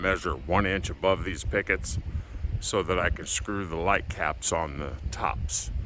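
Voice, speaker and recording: A man with a very deep, low pitch speaks at a fairly slow pace, his pitch varying an ordinary amount. Noticeable background noise is present. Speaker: channel owner doing home improvement vlog. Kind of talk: casual vlog. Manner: loud. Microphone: no mic on him.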